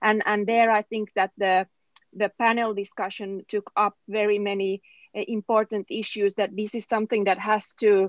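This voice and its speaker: A woman at medium pitch with a Finnish accent, moderate pace and monotone, flat intonation, her sound dry and close with no echo against a quiet background. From southern Finland. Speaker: politician. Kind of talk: panel discussion. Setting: webinar. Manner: halting, many fillers.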